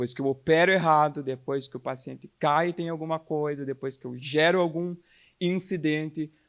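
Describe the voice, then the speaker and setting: On a very clean recording with a silent background, a man with a Curitiba accent talks at a moderate pace, his fairly high pitch held in fairly even intonation. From Curitiba, southern Brazil. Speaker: healthcare quality speaker. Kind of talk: conference talk.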